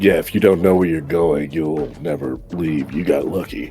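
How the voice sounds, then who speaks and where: A man does a put-on character voice, raspy and very deep in pitch, at a moderate pace. Clear music plays in the background. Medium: actual play. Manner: dry, sardonic.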